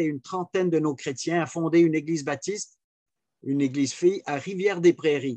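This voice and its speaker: Over a quiet background, a man with a high-pitched voice talks at a moderate pace with ordinary pitch variation. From Switzerland. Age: 70s. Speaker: pastor. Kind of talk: personal testimony.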